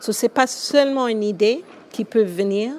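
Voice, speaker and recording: Fairly slow, medium-pitched speech from a woman, with ordinary variation in pitch. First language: English (speaking French). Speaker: school founder. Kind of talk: interview. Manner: hesitant, many fillers.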